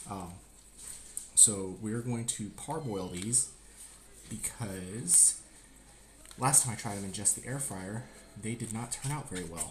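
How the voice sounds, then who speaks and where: A speaker with an American accent talks at a fairly slow pace, leaving long, frequent pauses. The pitch varies in an ordinary way, and room echo is audible. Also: man, fairly low pitch for a man. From US South, Georgia. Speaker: cooking streamer, Marine veteran. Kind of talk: live-streamed cooking tutorial. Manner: louder after viewer request; usually soft-spoken.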